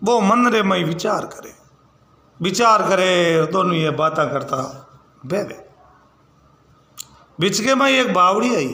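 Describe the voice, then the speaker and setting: Noticeable background noise surrounds a man with a high pitch and a raised, projected voice. He leaves long, frequent pauses. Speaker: folk storyteller. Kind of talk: folk tale narration.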